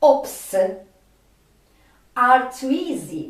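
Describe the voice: Strong room echo surrounds a woman with a slightly mellow tone. She talks at a very slow pace.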